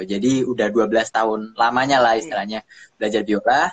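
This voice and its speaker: The speaker is a man, heard against a quiet background. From Indonesia. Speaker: violinist and music producer; guest. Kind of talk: casual chat. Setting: video call. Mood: friendly, relaxed. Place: home room. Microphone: phone near.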